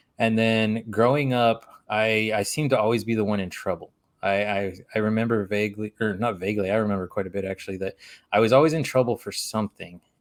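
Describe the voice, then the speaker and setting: In a very clean recording with a silent background, a man talks at a very fast pace with a fairly low pitch and fairly even intonation. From Alaska, from a Spanish-speaking childhood. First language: Spanish. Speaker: podcast guest in addiction recovery. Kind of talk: personal testimony; casual chat.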